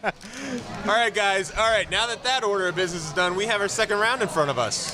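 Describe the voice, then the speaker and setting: A man with a high-pitched, raised and projected voice speaks at a fairly quick pace with ordinary pitch variation over noticeable background noise. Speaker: podcast host. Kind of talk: casual chat. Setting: brewery tap room. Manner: loud.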